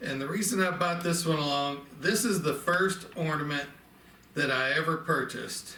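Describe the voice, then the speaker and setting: A man with a Southern accent and a fairly high pitch speaks at a fairly slow pace with ordinary pitch variation, along with audible room echo and noticeable background noise. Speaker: antique ornament collector. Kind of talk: casual show-and-tell video. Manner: conversational, with fillers.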